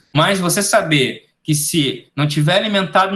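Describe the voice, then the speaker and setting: A man with a fairly high pitch speaks at a fairly slow pace, his bright, sharp tone carrying ordinary pitch variation. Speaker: ROV technician giving a webinar. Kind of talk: webinar lecture.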